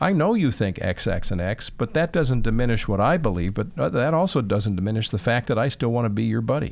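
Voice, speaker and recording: With vocal fry and an American accent, a man talks at a fairly quick pace with very wide pitch swings on a very clean recording with a silent background. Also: medium pitch for a man, very even loudness. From Chicago, Northwest Side. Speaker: TV meteorologist and broadcaster. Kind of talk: interview.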